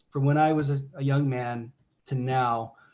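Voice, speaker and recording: A man with an American accent speaks at a fairly slow pace and sounds somewhat breathy. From United States. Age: 60s. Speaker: religious presenter. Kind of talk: discussion Q&A. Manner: halting.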